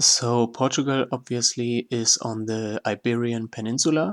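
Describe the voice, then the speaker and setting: A man with a non-native accent, a medium pitch, and flat, monotone delivery at a fairly slow pace, in a dry, close sound with no echo and a very clean recording with a silent background. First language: not English. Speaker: gaming YouTuber. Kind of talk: tutorial. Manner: halting, many fillers.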